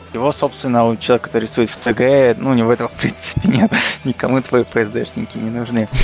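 Music plays in the background as a man speaks very fast at a medium pitch with ordinary pitch variation. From Kazakhstan. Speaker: illustrator. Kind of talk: casual chat.

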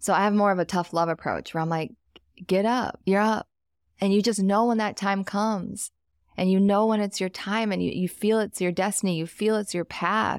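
With an American accent, the speaker keeps a moderate pace and fairly even intonation in a very clean, dry, close recording with no echo and a silent background. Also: woman, medium pitch for a woman. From US Midwest. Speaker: wealth coach and entrepreneur. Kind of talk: casual interview chat.

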